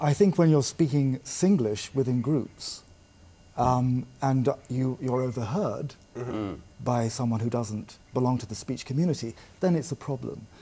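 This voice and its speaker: At a fairly slow pace, a man speaks with a somewhat breathy, dark, mellow tone, a medium pitch and ordinary pitch variation. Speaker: language trainer. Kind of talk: interview answer.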